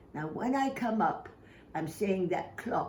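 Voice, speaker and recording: Somewhat breathy, the voice carries lively intonation. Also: woman. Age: 80s+. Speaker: exercise demonstrator. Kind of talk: exercise instruction to camera.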